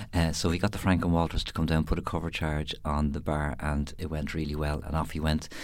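Very deep and low in pitch, a man speaks at a fairly quick pace with monotone, flat intonation. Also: hardly any pauses. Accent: Dublin. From Dublin, Ireland. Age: 50s. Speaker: musician and radio presenter. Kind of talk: casual interview.

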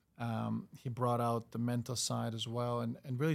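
Very clean recording of a man at medium pitch against a silent background. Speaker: professional football goalkeeper. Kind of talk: casual interview. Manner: halting, repeats words.

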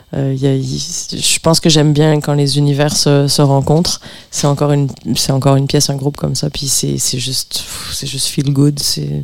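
Over noticeable background noise, a woman with a very deep, low voice speaks at a moderate pace in a monotone, flat intonation. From Montreal, Quebec, with time in France. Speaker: pianist and composer. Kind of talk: casual radio interview.

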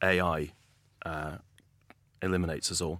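A man speaks with a very deep, low pitch and fairly even intonation. The recording is very clean with a silent background. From northeast England. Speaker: energy company founder and CEO. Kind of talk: podcast interview.

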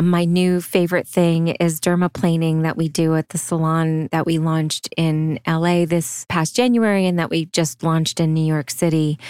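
A woman's plain, everyday voice, fairly low in pitch, at a moderate pace with hardly any pauses, fairly even intonation and very even loudness, in a dry, close, very clean recording with no echo and a silent background. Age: 50s. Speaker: celebrity esthetician. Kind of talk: casual interview.

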